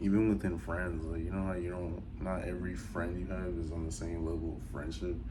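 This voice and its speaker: With hardly any pauses, a man with an American accent speaks at a fairly quick pace in a very deep, low pitch with ordinary pitch variation, and audible room echo. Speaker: vlogger. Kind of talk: casual monologue. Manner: casual, with many fillers.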